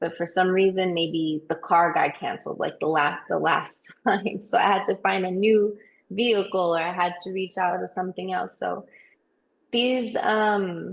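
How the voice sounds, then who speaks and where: A woman uses an unremarkable speaking voice with an American accent at a medium pitch. Her intonation is fairly even and her pace moderate. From New York / New Jersey area. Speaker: singer, songwriter, recording artist. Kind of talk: interview answer.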